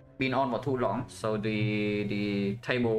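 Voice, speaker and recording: Audible room echo surrounds a man as he speaks. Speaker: game streamer. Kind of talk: live gameplay commentary. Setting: live stream.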